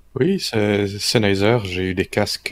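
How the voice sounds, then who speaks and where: Very slowly and in a monotone, flat intonation, a man with a fairly low pitch speaks in a dry, close recording with no echo. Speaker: tech news panelist. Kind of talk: casual chat. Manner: halting.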